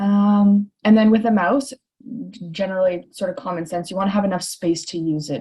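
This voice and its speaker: Her tone is dark and mellow, with ordinary pitch variation. The woman talks at a fairly quick pace. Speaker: chiropractor. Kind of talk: webinar presentation. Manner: frequent filler ums.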